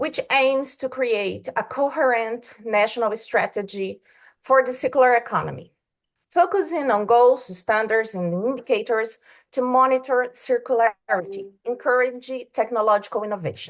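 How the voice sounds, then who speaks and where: A woman with a Brazilian Portuguese accent speaks in a high pitch at a moderate pace. Her pitch varies in an ordinary way over a quiet background. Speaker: law professor. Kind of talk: academic presentation. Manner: halting.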